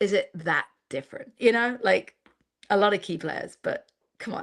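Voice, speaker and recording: A woman with an English accent speaks at a moderate pace and a fairly high pitch, with lively intonation. The recording is very clean, with a silent background. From England. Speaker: football commentator. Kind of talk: casual chat.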